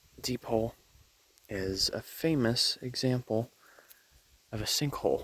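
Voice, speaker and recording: A man whispers quietly at a fairly slow pace. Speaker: nature vlogger. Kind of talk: outdoor educational vlog. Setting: outdoors at a state park. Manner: whispering quietly.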